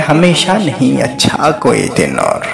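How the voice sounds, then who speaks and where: A man is speaking. Music plays in the background. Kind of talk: poetry reading. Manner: emotional, heartfelt.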